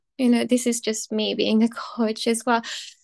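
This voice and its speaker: The speaker has a Japanese accent. The sound is dry and close, with no echo. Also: woman. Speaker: pole and ballet performer, pole teacher. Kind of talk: casual interview chat.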